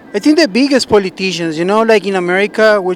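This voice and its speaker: This man speaks at a very fast pace with a Spanish accent. His pitch is high. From Colombia (Bogotá). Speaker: member of the public interviewed. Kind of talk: street interview. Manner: hesitant, with restarts and fillers.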